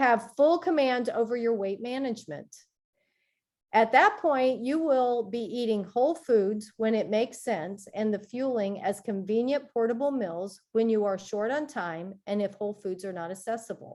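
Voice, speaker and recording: In a very clean recording with a silent background, a woman uses a normal speaking voice, fairly high in pitch, with ordinary pitch variation at a moderate pace. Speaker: health coach. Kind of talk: reading aloud.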